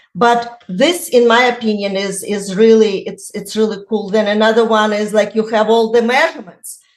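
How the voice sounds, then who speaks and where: A woman speaks at a fairly high pitch and a moderate pace with a non-native accent. Her pitch varies in an ordinary way, with hardly any pauses. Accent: foreign. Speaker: real estate agent. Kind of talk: podcast interview. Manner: halting, many fillers.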